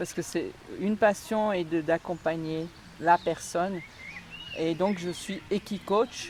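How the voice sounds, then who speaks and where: Over noticeable background noise, a woman with a fairly low pitch speaks at a very slow pace with fairly even intonation and long, frequent pauses. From Alsace, France. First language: Alsatian (speaking French). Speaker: equine coach, former nurse. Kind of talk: interview conversation. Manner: hesitant.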